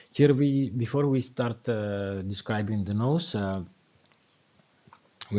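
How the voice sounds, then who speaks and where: With a non-native accent, a man speaks at a fairly low pitch with ordinary pitch variation. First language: not English. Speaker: wine educator. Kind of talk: tutorial. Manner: halting, many fillers.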